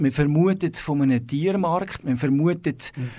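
On a very clean recording with a silent background, a man talks at a very slow pace and a fairly high pitch. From Switzerland, city of Zurich. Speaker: abbot of a monastery. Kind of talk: radio interview. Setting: radio studio.

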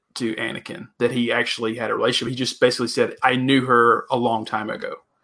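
A man with a plain, everyday voice, medium-pitched, at a fairly quick pace. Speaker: podcast co-host. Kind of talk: casual chat.

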